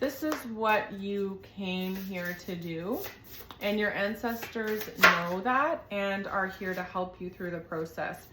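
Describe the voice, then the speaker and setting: A woman talks at a very slow pace, with noticeable background noise and audible room echo. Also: medium pitch for a woman, ordinary pitch variation. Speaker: tarot reader. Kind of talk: tarot reading monologue.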